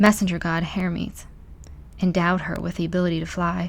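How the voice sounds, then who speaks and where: A soft-spoken woman at a fairly quick pace. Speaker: ASMR channel host. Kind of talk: ASMR soft-spoken book reading, bedtime story style.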